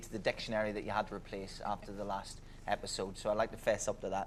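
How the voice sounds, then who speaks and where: A man talks at a very fast pace. His medium-pitched voice stays monotone, with flat intonation. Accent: Belfast. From Northern Ireland, Belfast. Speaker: radio DJ and broadcaster. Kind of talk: casual anecdote on a game show.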